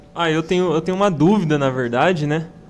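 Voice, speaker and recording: The man's pitch sits fairly high and shows ordinary variation. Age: 20s. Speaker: podcast co-host. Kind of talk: podcast interview. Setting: studio.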